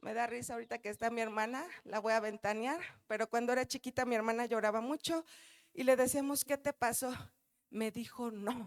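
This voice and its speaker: Her tone animated, a woman talks at a fairly quick pace and fairly high pitch in a dry, close sound with no echo. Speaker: pastor. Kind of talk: sermon. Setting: church.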